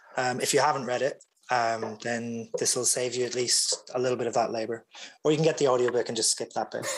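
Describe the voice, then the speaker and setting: Words come out very fast in a Derry accent. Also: man, medium pitch for a man, fairly even intonation. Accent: Northern Irish (Derry). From Northern Ireland, rural County Derry. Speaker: author, columnist.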